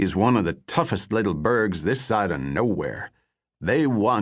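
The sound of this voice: Nothing much sounds behind the speaker. The reading voice is unforced, and the intonation rises and falls in a lively way.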